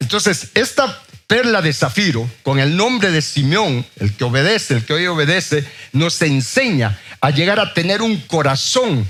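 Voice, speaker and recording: Speaking at a fairly slow pace, a man uses a fairly high pitch with very wide pitch swings, very even loudness and a bright, sharp tone. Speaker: preacher. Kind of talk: sermon.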